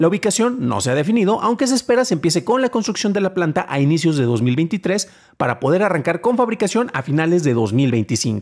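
A man with a Mexican accent races along at a very fast pace with hardly any pauses over a quiet background. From Mexico. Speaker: tech news podcast host; tech news host. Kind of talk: news reading and commentary. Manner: stammering at times; conversational, with fillers. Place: home room. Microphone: studio mic.

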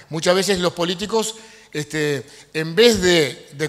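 His high-pitched voice shows ordinary pitch variation.

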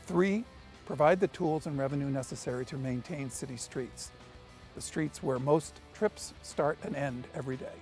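With faint music in the background, a man talks at a moderate pace in a dry sound with no echo. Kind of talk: policy update to camera. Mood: earnest, measured. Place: street. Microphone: lapel.

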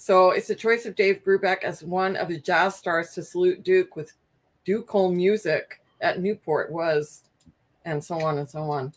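In a normal speaking voice, a woman talks at a medium pitch and a fairly slow pace with fairly even intonation. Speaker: record collector; record collector co-host. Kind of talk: casual group chat. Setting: in the room with the host. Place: home room.

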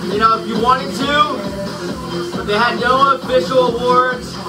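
Clear music plays in the background. Over it, a man speaks. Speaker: cycling coach. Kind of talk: spin class talk, race story. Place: home room.

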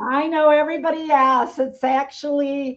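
A high-pitched woman against a quiet background. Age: 70s. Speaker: business owner and trainer for administrative assistants; trainer for administrative assistants. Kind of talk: live webinar presentation. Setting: online webinar. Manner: animated. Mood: cheerful, celebratory. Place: office. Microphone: webcam.

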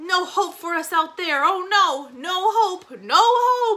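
In a put-on character voice, a man talks loudly and slowly with a bright, sharp tone, an extremely high pitch and ordinary pitch variation.

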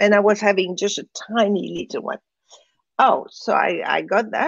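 A woman speaks with a French accent. Her pace is moderate. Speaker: spiritual teacher. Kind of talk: interview. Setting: live online broadcast.

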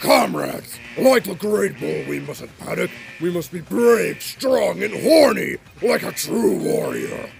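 A man at a fairly slow pace with big swings in loudness. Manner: aggressive, bro slang.

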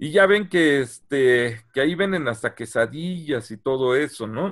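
The intonation is lively. The background is quiet. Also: man. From Mexico. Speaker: archaeologist; presenter. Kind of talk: lecture. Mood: friendly, engaging. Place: home room. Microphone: video call.

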